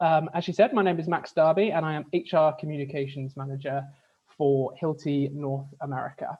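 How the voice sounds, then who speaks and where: A man's fairly high, fairly evenly intoned voice in a British accent at a fairly quick pace. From UK. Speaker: HR communications manager, workshop presenter. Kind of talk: webinar presentation. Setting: video call.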